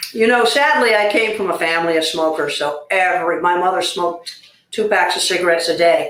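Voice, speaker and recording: A woman's fairly low pitch and ordinary pitch variation at a fairly quick pace, in an ordinary speaking voice. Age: 60s. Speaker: former smoker, patient. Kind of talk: interview.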